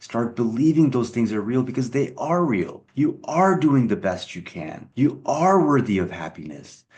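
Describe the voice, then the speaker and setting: Using vocal fry and very wide pitch swings, a man speaks at a medium pitch and a moderate pace with hardly any pauses. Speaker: self-help channel host. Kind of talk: motivational talk.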